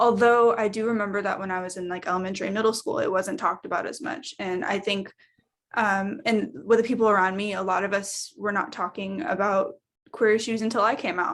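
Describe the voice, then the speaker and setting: A woman talks at a fairly quick pace in a normal speaking voice. Her pitch is medium with ordinary variation, and the recording is very clean with a silent background. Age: 20s. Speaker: college student panelist. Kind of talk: panel discussion.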